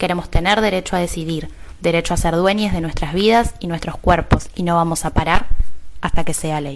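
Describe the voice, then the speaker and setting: Noticeable background noise behind a fairly quick-paced woman's voice. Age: 30s. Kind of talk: personal testimony.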